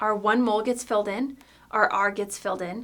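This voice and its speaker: A woman with a normal speaking voice, a fairly quick pace and ordinary pitch variation. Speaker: chemistry teacher. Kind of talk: tutorial.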